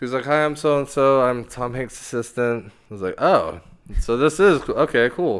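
A man with an American accent has an unremarkable speaking voice, medium pitch, ordinary pitch variation and a moderate pace. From Dallas, Texas. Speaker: musician. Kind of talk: casual chat.

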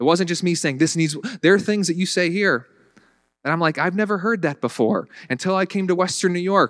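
A man speaks at a fairly quick pace with an American accent, his pitch high and his pitch variation ordinary. The recording is very clean, with a silent background. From US South. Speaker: pastor. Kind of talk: sermon. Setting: church. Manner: halting, repeats words.

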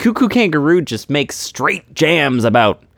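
A man speaks at a fairly slow pace in an animated, upbeat tone. The recording is very clean and the background silent. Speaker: radio host. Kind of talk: radio DJ patter, playful comedy show host. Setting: radio studio. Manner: animated, upbeat, goofy.

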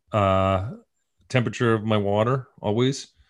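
At a fairly slow pace, a man talks in an ordinary speaking voice. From upstate New York. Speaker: TV writer-producer and comedian. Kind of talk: casual chat. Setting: video call.

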